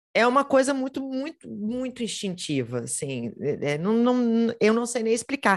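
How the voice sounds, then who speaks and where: A normal speaking voice from a woman with a fairly high pitch and lively intonation, on a very clean recording with a silent background. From Minas Gerais, Brazil (Belo Horizonte). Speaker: teacher. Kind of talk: interview.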